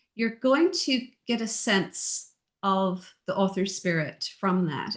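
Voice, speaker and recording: A woman's somewhat breathy voice against a quiet background. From Ireland, Dublin. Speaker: audiobook narrator and book editor. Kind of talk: casual interview chat.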